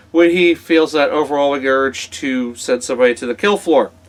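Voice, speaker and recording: A man's unremarkable speaking voice, fairly high in pitch with ordinary pitch variation, at a moderate pace. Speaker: wrestling podcast host. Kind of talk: casual interview talk.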